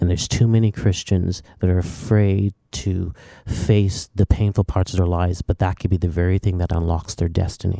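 A soft-spoken voice with a dark, mellow tone moves on with hardly any pauses and fairly even intonation, the sound dry and close with no echo. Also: man, very deep, low pitch for a man, moderate pace. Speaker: worship leader and songwriter. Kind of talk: interview testimony. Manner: quiet, soft-spoken off stage.

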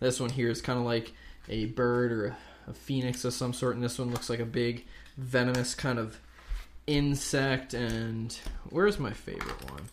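Audible room echo accompanies a man speaking at a moderate pace. His medium-pitched voice keeps fairly even intonation. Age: 20s. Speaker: podcast co-host. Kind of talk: casual chat.

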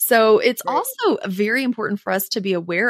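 In a dry, close sound with no echo, a woman uses a plain, everyday voice with ordinary pitch variation. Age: 40s. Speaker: HR consultant. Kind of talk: casual chat.

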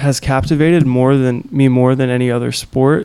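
At a fairly slow pace, a man talks in a medium pitch with a plain, everyday voice. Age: young. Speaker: surfer. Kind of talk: casual interview chat. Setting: home carport.

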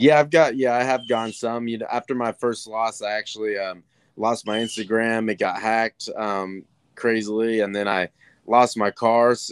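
A man with medium pitch speaks at a moderate pace with fairly even intonation, in an ordinary speaking voice. The recording is very clean, with a silent background. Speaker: UFC fighter. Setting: outdoors on patio. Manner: relaxed.

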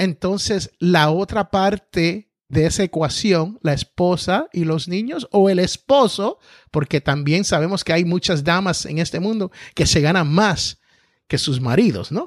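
The speech moves at a fairly slow pace, dry and close with no echo against a quiet background. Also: man, high pitch for a man, ordinary pitch variation. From Puerto Rico. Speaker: entrepreneur and podcaster. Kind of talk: interview. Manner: carefully enunciated.

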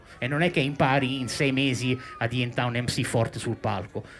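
A man speaks at a fairly quick pace. Behind his voice, background noise is noticeable. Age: 40s. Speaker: DJ. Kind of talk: interview on live podcast. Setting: boat with live audience.

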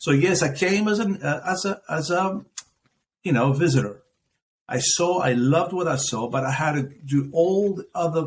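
A man with a Greek accent, fairly high-pitched, at a moderate pace with lively intonation. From Athens, Greece. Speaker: business owner. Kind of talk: casual interview conversation. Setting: video call.

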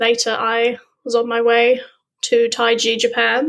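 A woman with a southern English accent speaks at a fairly high pitch. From southern England, Dorset. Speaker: underwater photographer and freediver. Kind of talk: interview.

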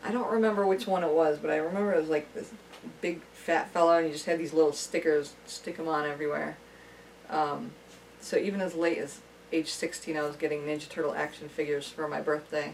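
This woman's pitch is very deep and low. She talks at a fairly quick pace with fairly even intonation. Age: 30s. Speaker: friend and amateur film actor. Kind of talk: casual chat.

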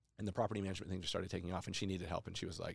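A very deep-voiced man with an American accent, on a very clean recording with a silent background. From Idaho, US (Boise). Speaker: real estate investor and entrepreneur. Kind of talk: casual interview.

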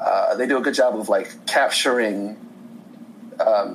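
A man with an American accent, amid noticeable background noise and audible room echo. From Indiana, US Midwest. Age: 30s. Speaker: podcast guest. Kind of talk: casual chat. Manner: halting.

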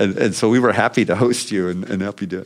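With a very deep, low pitch, a man talks at a moderate pace with ordinary pitch variation on a very clean recording with a silent background. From US Midwest, Indiana. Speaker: former congressman, political organizer. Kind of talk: long-form interview. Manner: hesitant, with fillers and repetitions.

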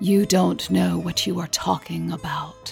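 The speaker uses a put-on character voice at a fairly slow pace. Music is clearly heard in the background.

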